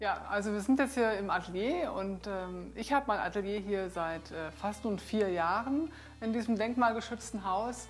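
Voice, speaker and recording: Faint music plays behind a woman speaking. Her pace is moderate and her pitch variation ordinary. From Unna, North Rhine-Westphalia, Germany; North Rhine-Westphalia, Germany. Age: 50s. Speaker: visual artist. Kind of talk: casual studio tour talk to camera. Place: shop.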